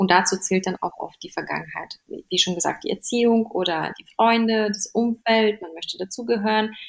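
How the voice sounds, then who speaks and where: An unremarkable speaking voice at a moderate pace, with ordinary pitch variation, big swings in loudness and hardly any pauses. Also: woman, fairly high pitch for a woman. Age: 30s. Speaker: fashion stylist and image coach. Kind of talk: casual interview.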